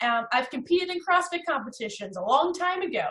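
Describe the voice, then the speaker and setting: Speaking at a very fast pace, a woman with a New Jersey accent sounds energetic, her intonation lively. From US Northeast, North Jersey. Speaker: networking coach. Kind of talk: webinar presentation.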